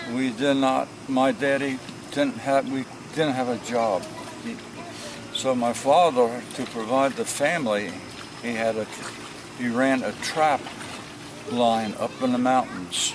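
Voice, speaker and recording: With an American accent, the speaker talks at a fairly slow pace with long, frequent pauses over noticeable background noise. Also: man, medium pitch for a man, ordinary pitch variation. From New Jersey. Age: 80s+. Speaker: elderly man recounting his life. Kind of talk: oral history interview. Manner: halting.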